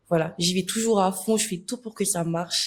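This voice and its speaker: This is a woman speaking. Her voice is somewhat breathy. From Senegal, Dakar. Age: 20s. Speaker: influencer. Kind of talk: interview.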